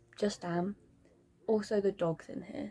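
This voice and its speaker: A woman is talking. She is soft-spoken and goes at a fairly slow pace. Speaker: book vlogger. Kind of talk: casual vlog. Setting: at home at night. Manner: quiet, soft-spoken.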